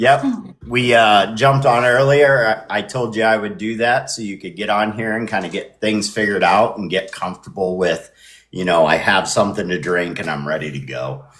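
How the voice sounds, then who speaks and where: A man with an American accent talks at a moderate pace and a fairly low pitch. His intonation is lively, and vocal fry runs through his voice. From Indiana. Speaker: podcast host. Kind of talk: casual chat.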